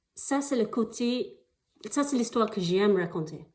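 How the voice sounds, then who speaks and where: A woman's fairly high, dark and mellow voice with lively intonation, a non-native accent and a fairly slow pace. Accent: foreign accent in French. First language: not French (speaking French). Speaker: actress applying for an artist residency. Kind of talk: video application pitch. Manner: halting, many hesitations.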